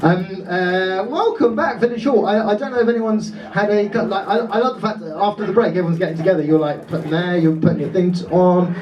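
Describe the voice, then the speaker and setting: Speech comes at a fairly quick pace with hardly any pauses and ordinary pitch variation, heard through audible room echo and noticeable background noise. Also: man, high pitch for a man. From Dorset, England. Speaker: comedian. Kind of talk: stand-up. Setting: stage with audience. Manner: animated.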